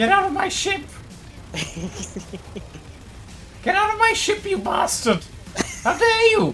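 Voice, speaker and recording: A shrill, put-on character voice at an extremely high pitch comes at a moderate pace with long, frequent pauses. Background noise is clearly heard. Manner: indignant, scolding, outraged.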